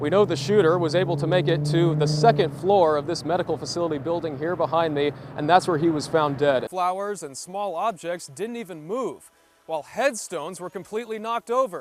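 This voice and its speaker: Over music in the background, a man talks at a fairly quick pace, his voice high with ordinary pitch variation. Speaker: television news reporter. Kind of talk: broadcast news reporting, on-scene and voiceover.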